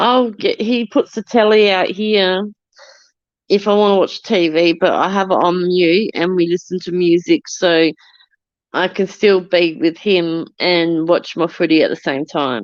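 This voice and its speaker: A woman in an Australian accent, medium in pitch, at a fairly slow pace with ordinary pitch variation. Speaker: livestreamer. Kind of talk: casual chat. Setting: outdoors. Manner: loud.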